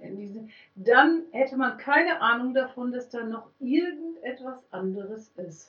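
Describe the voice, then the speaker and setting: Her voice high and her intonation lively, a woman speaks at a fairly slow pace with big swings in loudness. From Germany (Münster, Westphalia). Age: middle-aged. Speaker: music therapist. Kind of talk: interview. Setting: clinic.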